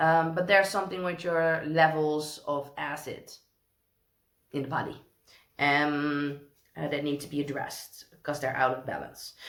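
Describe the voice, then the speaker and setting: A woman with a very deep, low pitch speaks at a moderate pace with a Dutch accent. Her intonation stays fairly even, broken by long, frequent pauses. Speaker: tarot reader. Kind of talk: tarot reading. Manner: hesitant, many fillers.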